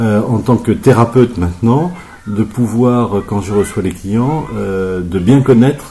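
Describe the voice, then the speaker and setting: Speaking very slowly, a man uses a medium pitch with ordinary pitch variation. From France, Berry region. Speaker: therapist. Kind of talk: radio interview. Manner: hesitant, many fillers.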